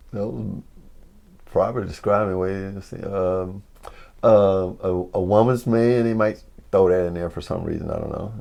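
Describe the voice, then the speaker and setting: This man speaks with a Mississippi accent. His pitch is fairly low and his tone dark and mellow. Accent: Southern US, Mississippi. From New Albany, Mississippi. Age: 70s. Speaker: former basketball player. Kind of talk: oral history interview answer.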